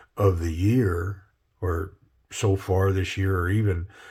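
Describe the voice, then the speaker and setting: A man with an American accent speaks in a very deep, low voice, with fairly even intonation and a relaxed, somewhat breathy tone, on a very clean recording with a silent background. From Minnesota. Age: 60s. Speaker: knife reviewer. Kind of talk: casual product review. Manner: relaxed, halting with fillers.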